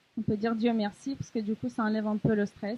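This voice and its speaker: Somewhat breathy, a woman talks at a moderate pace. Her pitch sits fairly high. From Ukraine. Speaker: volunteer. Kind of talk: testimony. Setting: café event with audience. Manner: hesitant.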